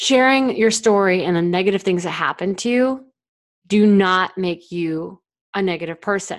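A woman's medium-pitched voice, an ordinary speaking voice with ordinary pitch variation, in a very clean recording with a silent background. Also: moderate pace. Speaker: podcast host and founder. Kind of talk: storytelling monologue, narrating a dramatic story. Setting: solo monologue to listeners.

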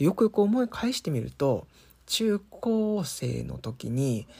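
This man has a dark, mellow tone and a somewhat breathy sound. His pitch swings very widely. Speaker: solo podcaster. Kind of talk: casual monologue. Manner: hesitant, many fillers.

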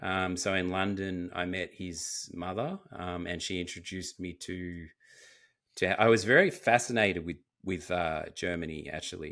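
This is a man's voice. It is pitched very deep and low. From Australia. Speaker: actor and filmmaker. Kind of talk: casual interview chat. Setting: video call. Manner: halting, many fillers and restarts.

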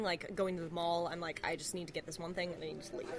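With noticeable background noise behind her, a woman talks at a very fast pace. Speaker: guest. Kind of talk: casual chat. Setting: booth in a diner at night.

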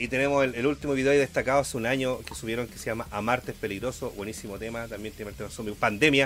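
A man with a Chilean accent at a very fast pace, with big swings in loudness and hardly any pauses. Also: medium pitch for a man, ordinary pitch variation. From Chile, Santiago. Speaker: podcast co-host. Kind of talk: casual chat.

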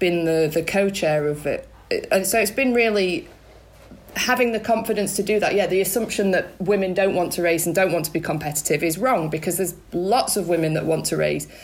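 In an ordinary speaking voice, a woman talks at a fairly quick pace with fairly low pitch, ordinary pitch variation and very even loudness. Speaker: cyclist, club rider.

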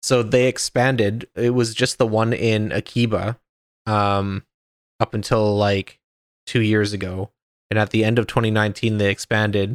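A fairly low-pitched man's voice in monotone, flat intonation, dry and close with no echo, in a very clean recording with a silent background. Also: moderate pace. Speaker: podcast host. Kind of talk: casual chat.

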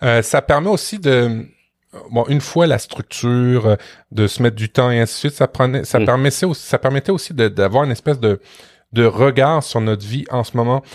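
In a Quebec accent, a man speaks at a moderate pace and medium pitch with ordinary pitch variation, recorded very cleanly with a silent background and a dry, close sound with no echo. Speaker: podcast co-host, web professional. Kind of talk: casual chat.

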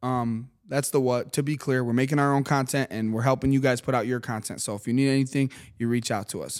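A man with an unremarkable speaking voice, medium pitch, ordinary pitch variation and a moderate pace, in a very clean recording with a silent background. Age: 30s. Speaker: media company founder and podcast host. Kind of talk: casual chat. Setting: studio.

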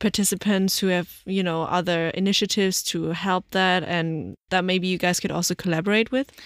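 Very clean recording with a silent background and a dry, close sound with no echo. A woman with a German accent speaks at medium pitch and a moderate pace. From Germany. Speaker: podcast host. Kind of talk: interview.

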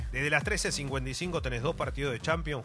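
Audible room echo surrounds a man as he talks. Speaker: football journalist. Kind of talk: radio sports chat.

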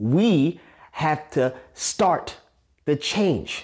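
Recorded very cleanly against a silent background, a man speaks in a New York accent with ordinary pitch variation. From Staten Island, New York. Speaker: podcast host, motivational speaker. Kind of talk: motivational monologue.

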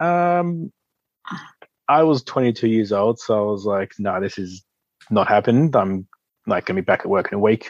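A man's fairly low voice with lively intonation, a moderate pace, and long, frequent pauses. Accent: Australian. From Australia. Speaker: Paralympic sit skier. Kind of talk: interview.

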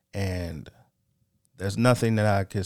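In a very clean recording with a silent background, a man talks at a very deep, low pitch. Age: 30s. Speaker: podcast host. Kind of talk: solo monologue, motivational talk. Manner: unscripted, halting with fillers.

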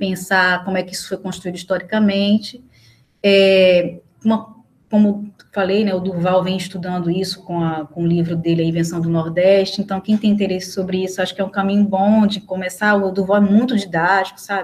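A woman speaks at a moderate pace in a medium pitch, her voice somewhat breathy and her intonation flat and monotone. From Recife, Northeast Brazil. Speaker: historian, researcher. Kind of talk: casual interview chat.

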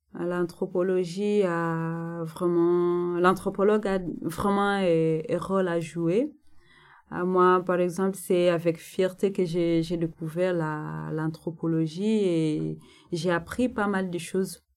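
A woman with a fairly low pitch speaks at a very slow pace in fairly even intonation. The recording is very clean, with a silent background. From DR Congo, North Kivu. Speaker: anthropologist, doctoral graduate. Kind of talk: interview. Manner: halting, many hesitations.

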